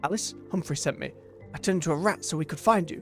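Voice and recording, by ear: Putting on a squeaky character voice, a man talks at a very fast pace in a high pitch while clear music plays in the background.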